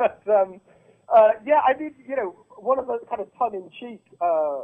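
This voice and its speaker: Very wide pitch swings at a moderate pace, with a British accent. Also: man. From Britain. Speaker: political writer and activist. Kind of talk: political interview.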